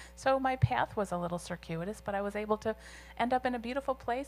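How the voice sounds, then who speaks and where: With an ordinary speaking voice, a woman talks at a fairly quick pace with ordinary pitch variation in a very clean recording with a silent background. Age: 60s. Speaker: architect and business owner. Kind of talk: guest lecture Q&A.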